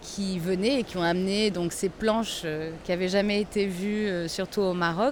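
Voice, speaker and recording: The delivery comes at a fairly slow pace. Its intonation stays fairly even. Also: woman. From Portugal (Lisbon), French family. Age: 40s. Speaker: traveller. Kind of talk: interview testimony. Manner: hesitant, with fillers.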